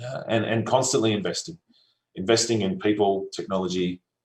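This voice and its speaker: A very fast man's voice, fairly low-pitched, with fairly even intonation. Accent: Australian. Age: 30s. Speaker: solar company executive. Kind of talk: conference talk. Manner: casual, with frequent fillers.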